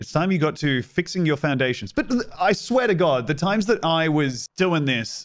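A man speaks with an Australian accent in a fairly high pitch. His intonation is lively, and the background is quiet. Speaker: streamer and comedian; streamer, comedian. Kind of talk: casual gameplay commentary. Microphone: studio mic.

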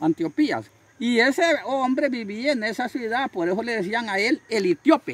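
Speaking at a fairly slow pace with lively intonation, a man with an extremely high pitch is heard in a dry recording with no echo. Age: 70s. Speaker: can collector living in poverty; rural man preaching about Bible. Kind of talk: interview; testimony. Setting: at his home. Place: open country. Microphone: phone near.

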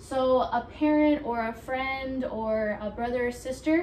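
Against light background noise, a woman speaks in a high voice. Room echo is audible around her. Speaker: fitness instructor. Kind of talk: tutorial. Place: home room. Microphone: camera far.

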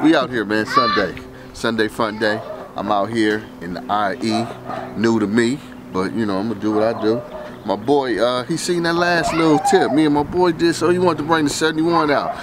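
Against loud background noise, a man talks at a moderate pace with a dry sound and no echo. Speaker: car channel host. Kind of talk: casual vlog chat. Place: street. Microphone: phone near.

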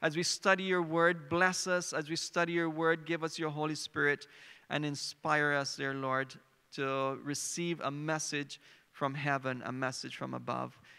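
A man's bright, sharp tone comes at a moderate pace with fairly even intonation. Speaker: preacher. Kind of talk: sermon. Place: stage. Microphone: handheld.

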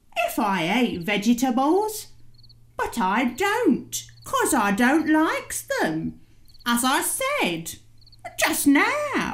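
A put-on character voice moves at a very slow pace. Long, frequent pauses break up the speech. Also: female-sounding voice, high pitch for a woman. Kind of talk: comic character voice. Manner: huffy, chatty, rambling.

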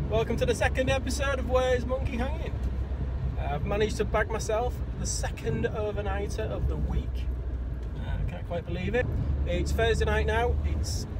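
A man at a moderate pace, with long, frequent pauses, a dry sound with no echo and loud background noise. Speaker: angler vlogger. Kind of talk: casual vlog chat. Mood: cheerful, relaxed. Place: car. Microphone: phone near.

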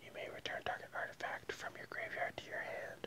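A man whispers at a moderate pace. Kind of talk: casual vlog chat reading card text. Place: home room. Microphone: earbuds.

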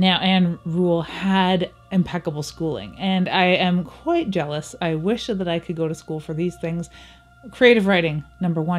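A woman's fairly low voice with ordinary pitch variation, at a moderate pace, over faint music in the background. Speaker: book reviewer. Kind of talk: casual book review vlog. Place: home room.

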